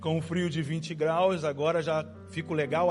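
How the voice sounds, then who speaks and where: Music plays in the background. The speaker has a Rio de Janeiro accent and talks at a fairly slow pace. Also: man. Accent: carioca (Rio de Janeiro). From Brazil, Rio de Janeiro. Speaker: pastor. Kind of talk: sermon. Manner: conversational, informal.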